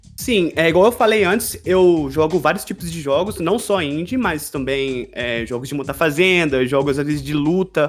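With music playing behind him, a man talks at a moderate pace with hardly any pauses, his fairly high voice carrying lively intonation. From Brazil, Juiz de Fora (Minas Gerais). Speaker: game streamer and podcaster. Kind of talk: interview.

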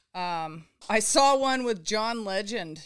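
In a very clean recording with a silent background, a woman speaks with an American accent. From Southern California. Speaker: reality TV survival contestant. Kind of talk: casual interview chat. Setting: host's home.

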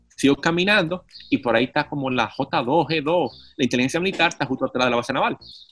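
A man speaks at a very fast clip with a fairly high pitch. His pitch moves in an ordinary way, and the sound is dry and close with no echo. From Dominican Republic, Santo Domingo. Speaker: city councillor and cycling activist. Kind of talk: casual interview. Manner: animated.

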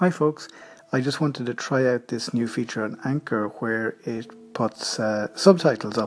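Ordinary pitch variation with an Irish accent, over noticeable background noise. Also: man, medium pitch for a man. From Ireland. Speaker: podcaster. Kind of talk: casual app recommendation. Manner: casual, conversational with fillers.

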